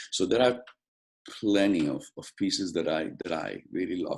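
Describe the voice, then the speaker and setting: A man speaks fairly slowly with a Spanish accent. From Mexico, Guadalajara. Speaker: opera stage director. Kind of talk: interview. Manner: halting, many repetitions.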